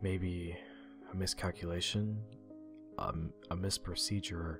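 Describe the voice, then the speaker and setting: With music in the background, a man with a very deep, low pitch speaks using lively intonation. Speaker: amateur creepypasta narrator / YouTube reader. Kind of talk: creepypasta horror narration, dramatic reading. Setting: unedited home recording, rough sound quality.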